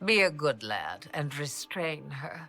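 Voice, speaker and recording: A put-on character voice at a low-to-middle pitch and a fairly slow pace. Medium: video game. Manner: knowing, theatrical, wryly amused.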